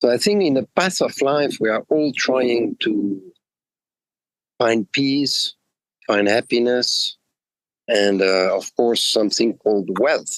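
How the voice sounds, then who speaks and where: Heard in a dry, close sound with no echo, a man with a French-Swiss accent speaks very slowly, with long, frequent pauses, lively intonation and very even loudness. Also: medium pitch for a man. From Switzerland, French-speaking. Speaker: executive coach. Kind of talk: interview. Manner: halting, many fillers.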